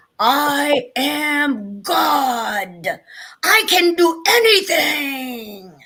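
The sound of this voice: Loud and very slow, this put-on character voice sits at a high pitch and makes very wide pitch swings.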